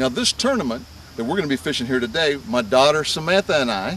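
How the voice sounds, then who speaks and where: A man speaks with very wide pitch swings. The sound is dry with no echo, over light background noise. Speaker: fishing show host. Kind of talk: show intro commentary. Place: open country.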